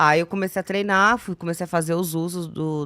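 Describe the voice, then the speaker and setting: In a very clean recording with a silent background, a woman speaks at a moderate pace with a fairly low pitch. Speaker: former TV show dancer/assistant. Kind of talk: casual podcast interview. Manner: hesitant, many fillers.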